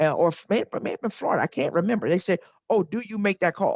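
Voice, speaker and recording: In a dry, close recording with no echo and a quiet background, a woman speaks in an animated tone with ordinary pitch variation. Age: 50s. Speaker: sports podcast co-host. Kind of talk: casual chat.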